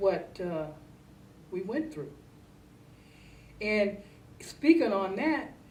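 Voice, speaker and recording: A woman with an American accent at medium pitch, very wide pitch swings, a very slow pace and long, frequent pauses, over noticeable background noise. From Ohio, US. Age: 60s. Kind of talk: interview answer.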